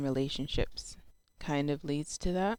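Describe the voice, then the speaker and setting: Her very deep, low pitch and dark, mellow tone carry a fairly even intonation as this woman speaks. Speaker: mental health vlogger. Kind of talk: casual vlog talk. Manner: halting.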